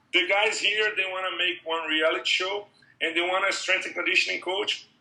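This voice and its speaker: In a raised, projected voice, a man with a Brazilian accent talks at a fairly quick pace, his high pitch held in monotone, flat intonation. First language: Portuguese. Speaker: MMA strength and conditioning coach. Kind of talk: interview. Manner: halting.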